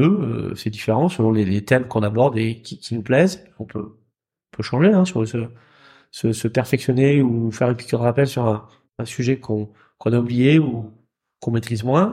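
A man's somewhat breathy voice, dark and mellow in tone, medium in pitch, with ordinary pitch variation, at a moderate pace, in a very clean recording with a silent background. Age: 40s. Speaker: wealth management advisor. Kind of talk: interview. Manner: hesitant, many fillers.

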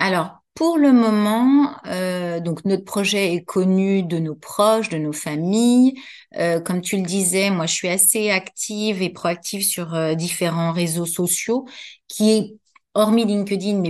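Over a quiet background, a woman talks at a very slow pace. Her pitch is medium. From Paris, France. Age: 50s. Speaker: entrepreneur, former occupational health nurse. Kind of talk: interview.

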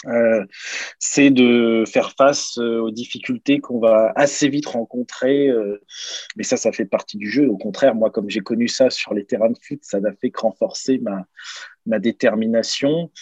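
A plain, everyday voice from a man, medium in pitch, fairly slow and fairly even in intonation, with a dry, close sound and no echo. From Normandy, France (Caen), then Lens area from 14. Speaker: former pro footballer, daycare entrepreneur. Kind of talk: interview.

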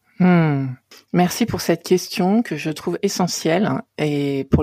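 A woman talks at a fairly slow pace in a fairly low pitch, with a dark, mellow tone and ordinary pitch variation. The sound is dry and close, with no echo. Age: 50s. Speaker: coach and therapist. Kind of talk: interview conversation.

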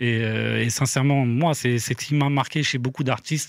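A man's ordinary speaking voice at medium pitch and moderate pace, fairly even in intonation, on a very clean recording with a silent background. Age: 40s. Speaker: music producer and manager. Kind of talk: casual chat.

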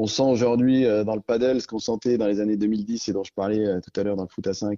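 A man's fairly low-pitched voice, flat and monotone. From Auvergne, France. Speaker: entrepreneur, founder of five-a-side football centres. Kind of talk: interview. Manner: halting with frequent repetitions.

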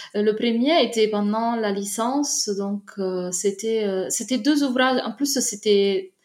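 A woman's fairly high voice with an Italian accent, very slow pace, and ordinary pitch variation. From Italy, Naples. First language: Italian (speaking French). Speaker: literature researcher. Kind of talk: casual interview. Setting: remote call. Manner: halting, frequent repetitions.

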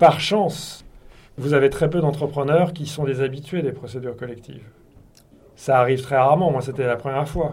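A somewhat breathy man speaks at a moderate pace with a fairly high pitch. His intonation is fairly even, and room echo is audible. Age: 50s. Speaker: company executive. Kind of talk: interview.

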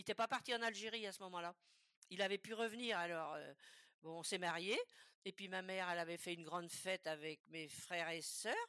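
A woman talks at a fairly quick pace and medium pitch, her tone bright and sharp with ordinary pitch variation. The recording is dry and close, with no echo. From western France, Loire-Atlantique. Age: 80s+. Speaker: retiree sharing life story. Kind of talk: interview about life story. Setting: remote video call. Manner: halting, with many repetitions.

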